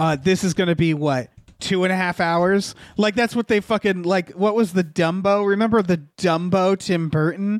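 In a very clean recording with a silent background and a dry, close sound free of echo, a man speaks with a high pitch, fairly even intonation, very even loudness and a moderate pace. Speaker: podcast host. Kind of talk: casual chat.

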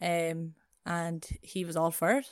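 A woman speaks in an Irish Midlands accent with a fairly low pitch. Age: 20s. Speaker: rugby player. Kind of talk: casual interview. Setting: remote call.

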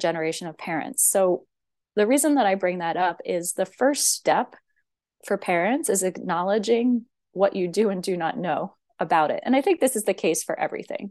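Speaking at a moderate pace with an American accent, a woman has an unremarkable speaking voice, medium pitch and lively intonation, with a quiet background. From US, central Pennsylvania, rural. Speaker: professor of education. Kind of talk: interview conversation.

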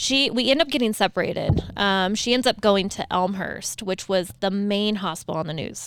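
In a very clean recording with a silent background, a woman with an unremarkable speaking voice talks at a moderate pace, with medium pitch and ordinary pitch variation. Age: 30s. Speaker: nurse. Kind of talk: casual chat.

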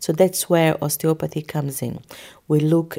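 A woman speaks with a Portuguese accent at a very deep, low pitch. The recording is very clean, with a silent background. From Brazil. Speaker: osteopath. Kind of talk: interview.

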